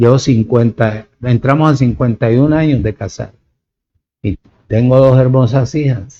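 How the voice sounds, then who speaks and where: Speaking at a fairly slow pace, a man uses a medium pitch and fairly even intonation, his tone dark and mellow. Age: 70s. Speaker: preacher. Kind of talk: sermon.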